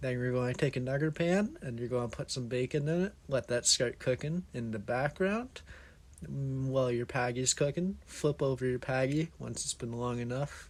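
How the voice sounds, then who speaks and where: A somewhat breathy man speaks at a moderate pace with a medium pitch and ordinary pitch variation. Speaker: aspiring home cook. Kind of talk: cooking tutorial narration.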